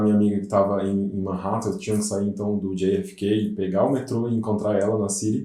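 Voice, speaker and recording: A man speaks very fast at a fairly low pitch, and room echo can be heard. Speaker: English teacher. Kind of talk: casual chat.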